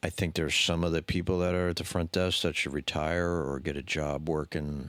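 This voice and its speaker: Mumbling at a fairly quick pace, a man speaks at a very deep, low pitch in a flat monotone with very even loudness on a very clean recording with a silent background. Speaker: podcast co-host sharing his mental health story. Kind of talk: casual chat.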